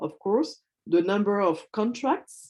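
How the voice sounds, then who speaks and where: A woman with a French accent speaks at a fairly slow pace with ordinary pitch variation over a quiet background. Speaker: hub manager at a webinar. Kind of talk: webinar Q&A. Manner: halting, many fillers.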